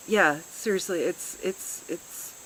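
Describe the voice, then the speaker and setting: Fairly slow speech from a woman, with noticeable background noise behind it. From US Midwest, Chicago area. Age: 40s. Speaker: retreat participant, high school teacher. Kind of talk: testimonial interview. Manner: hesitant, filler-heavy.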